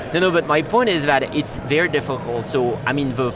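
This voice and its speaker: In a French accent, the speaker moves at a fairly quick pace with ordinary pitch variation, with audible room echo and music in the background. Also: man. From France. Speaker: tech executive. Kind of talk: interview. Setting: live stream desk at trade show. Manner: halting.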